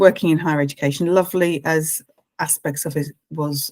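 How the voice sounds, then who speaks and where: In an English accent, a woman speaks with ordinary pitch variation. The sound is dry and close, with no echo. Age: 60s. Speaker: life coach. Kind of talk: casual chat. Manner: halting.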